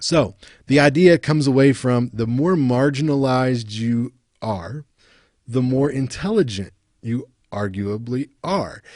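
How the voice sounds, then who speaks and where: Over a quiet background, a man with an American accent talks fairly slowly at a medium pitch, with ordinary pitch variation and a dry sound with no echo. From West Virginia, Appalachia. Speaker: university lecturer. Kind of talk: recorded lecture. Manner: casual, halting with fillers. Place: home room. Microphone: webcam.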